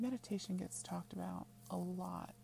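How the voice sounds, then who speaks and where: A woman with a very deep, low voice speaks in a calm, soothing tone, her pitch swinging very widely over noticeable background noise. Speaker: witchcraft teacher and podcast host. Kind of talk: guided meditation, tree-root visualization; scripted-style podcast intro with ad. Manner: calm, slow, soothing, instructive.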